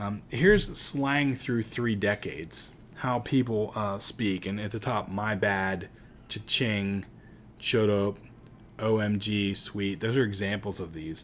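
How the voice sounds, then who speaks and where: Heard with audible room echo, a man speaks fairly slowly in an American accent, his fairly low pitch held in fairly even intonation. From Pittsburgh, Pennsylvania. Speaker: teacher. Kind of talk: lecture. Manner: casual, conversational.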